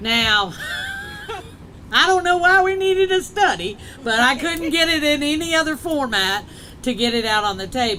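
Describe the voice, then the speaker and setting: A woman's high, raised and projected voice with very wide pitch swings, a moderate pace, long and frequent pauses, and noticeable background noise. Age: 50s. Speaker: state legislator. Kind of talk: public speech.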